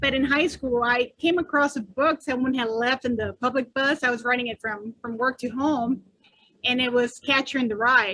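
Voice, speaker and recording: A woman with a Spanish accent talks at a high pitch and a moderate pace. Her tone is bright and sharp, her intonation fairly even. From northern Mexico, raised in US. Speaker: author. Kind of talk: interview.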